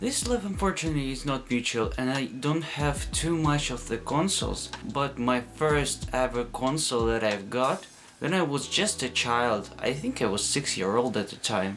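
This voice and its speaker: With music in the background, a man with a non-native accent and a medium pitch speaks at a moderate pace with lively intonation. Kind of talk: casual talk to camera.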